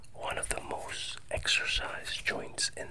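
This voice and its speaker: A man whispers over noticeable background noise. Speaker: meditation guide. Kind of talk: guided meditation. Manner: slow intimate whisper. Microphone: earbuds.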